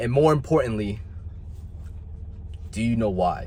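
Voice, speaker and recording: A man speaks in a passionate tone with very wide pitch swings. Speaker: motivational youtuber. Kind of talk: motivational talk to camera. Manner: emphatic, passionate; occasional stumbling.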